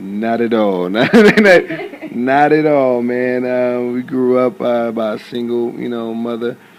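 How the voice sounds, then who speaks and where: Over noticeable background noise, a man with an American accent speaks at a very slow pace and medium pitch, with ordinary pitch variation and hardly any pauses. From Southern California (Compton, Rialto). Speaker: actor. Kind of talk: interview.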